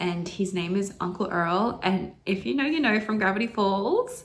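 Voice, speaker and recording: Here a woman speaks with an Australian accent at a medium pitch. Her intonation is lively. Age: 20s. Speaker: indie author. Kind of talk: casual talk to camera.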